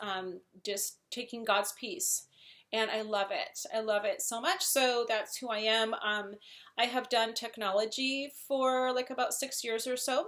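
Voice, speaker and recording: With a Wisconsin accent, a woman talks at a fairly slow pace with fairly high pitch and ordinary pitch variation. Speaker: software project manager and translator. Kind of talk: casual talk to camera.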